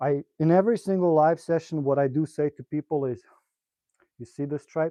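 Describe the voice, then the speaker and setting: A man with a slight non-native accent, ordinary pitch variation and a moderate pace. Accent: slight foreign. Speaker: pool player and streamer. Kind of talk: live stream tutorial. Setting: live stream. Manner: casual, hesitant with fillers.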